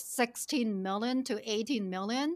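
A woman with a Chinese accent, a bright, sharp tone, ordinary pitch variation and a fairly slow pace. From China. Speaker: financial planner and company founder. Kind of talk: casual interview chat.

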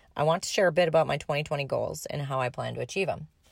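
This woman talks with an Upper Midwest accent in a very clean recording with a silent background. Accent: Upper Midwest (Minnesota). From Minnesota. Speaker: podcast host and horse owner. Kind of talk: personal story monologue.

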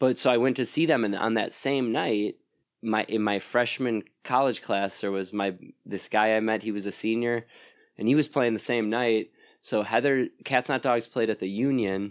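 A man with an ordinary speaking voice and an American accent speaks at a moderate pace and medium pitch with fairly even intonation, on a very clean recording with a silent background. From Wisconsin, US (Plymouth, near Sheboygan). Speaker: musician and record label owner. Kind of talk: casual interview chat. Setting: at his house.

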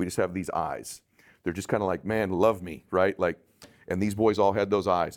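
A man with an American accent and an unremarkable speaking voice talks at a moderate pace with a fairly low pitch and fairly even intonation, in a very clean recording with a silent background. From Southern California. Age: 40s. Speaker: life strategist and entrepreneur. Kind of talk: interview.

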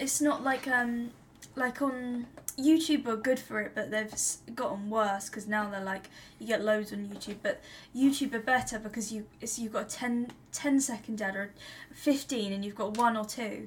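A woman with a plain, everyday voice speaks at a moderate pace and fairly high pitch, with fairly even intonation. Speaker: podcast co-host. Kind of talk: casual interview chat.

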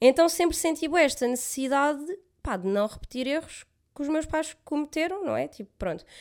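Her voice is high-pitched, and this woman's intonation is lively. The recording is very clean, with a silent background. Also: moderate pace. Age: 20s. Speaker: podcast co-host. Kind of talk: casual chat.

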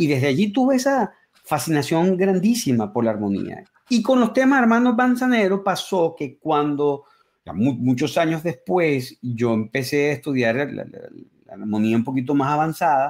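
The man's pitch is fairly high and swings very widely. He keeps a moderate pace. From Venezuela, Caracas. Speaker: music YouTuber and musician. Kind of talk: interview.

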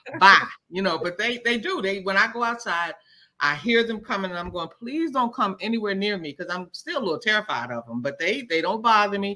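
A woman with a medium-pitched, bright, sharp voice talks at a fairly quick pace, animated in tone and with very wide pitch swings. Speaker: author and performer. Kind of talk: casual chat.

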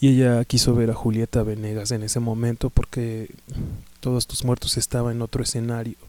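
Fairly quick and flat in intonation, a man with a Mexican accent talks in a dark, mellow tone at medium pitch. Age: 30s. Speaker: podcast host, music fan. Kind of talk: casual monologue. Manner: halting, many fillers.

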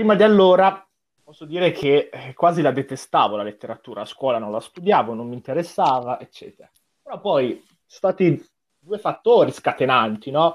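A man speaks at a moderate pace in a high voice, his pitch swinging very widely and his loudness rising and falling sharply. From Como, Lombardy, Italy. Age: 20s. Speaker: literature student. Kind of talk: casual chat.

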